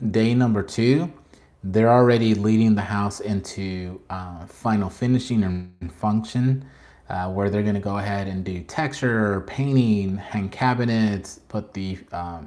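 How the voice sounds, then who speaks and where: Recorded very cleanly against a silent background, a man with a fairly low pitch speaks at a moderate pace in a dark, mellow tone. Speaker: factory sales representative for manufactured homes. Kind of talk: live stream Q&A. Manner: hesitant, many fillers.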